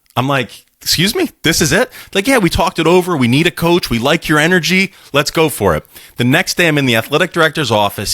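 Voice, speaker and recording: A man with an American accent speaks fairly quickly in a fairly high, bright and sharp voice with vocal fry and very wide pitch swings, the sound dry and close with no echo. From Philadelphia, US. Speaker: English teacher and baseball coach. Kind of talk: interview storytelling. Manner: animated.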